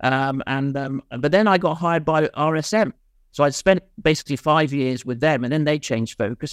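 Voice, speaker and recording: A man with a Welsh accent, fairly high-pitched, at a moderate pace with ordinary pitch variation, in a dry, close sound with no echo. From Mid-Wales. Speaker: insolvency and restructuring consultant. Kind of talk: casual interview. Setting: video call.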